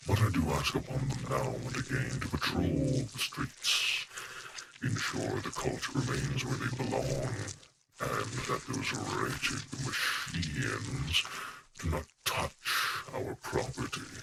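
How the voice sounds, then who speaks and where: Using a put-on character voice, a man speaks at medium pitch. His pace is fairly slow. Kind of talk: in-character role play dialogue. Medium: role play. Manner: slow, formal.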